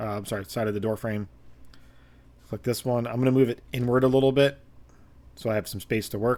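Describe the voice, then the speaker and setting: Intonation stays fairly even. The voice belongs to a man. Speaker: game modding tutorial maker. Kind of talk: tutorial. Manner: hesitant, many fillers.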